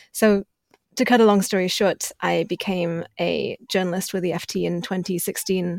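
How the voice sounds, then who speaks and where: A moderate pace and fairly even intonation with a British accent, in a dry, close sound with no echo and a very clean recording with a silent background. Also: woman. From UK, moved from China at age four. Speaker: journalist. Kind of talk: interview.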